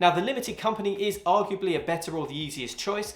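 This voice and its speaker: Over noticeable background noise, a man with a British accent talks at a very fast pace. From UK. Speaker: YouTuber, funded forex trader. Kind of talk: talking-head explainer video.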